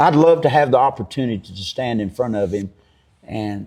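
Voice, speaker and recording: A dark, mellow tone in a Kentucky accent at a moderate pace over a quiet background. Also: man. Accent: Kentucky rural Southern US. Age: 60s. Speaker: farmer. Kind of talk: interview.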